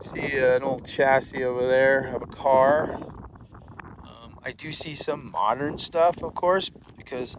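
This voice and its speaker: A man's voice over noticeable background noise. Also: dry sound with no echo. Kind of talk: casual vlog narration. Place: open country. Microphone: phone near.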